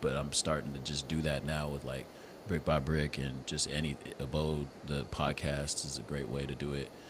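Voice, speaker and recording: The man's pitch is very deep and low, with vocal fry throughout. He keeps a moderate pace and fairly even intonation. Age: 40s. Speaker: podcast host. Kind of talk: casual chat.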